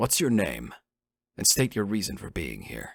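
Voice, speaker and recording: A man growls in a put-on character voice with a fairly low pitch at a moderate pace. The recording is very clean, with a silent background. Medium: read story.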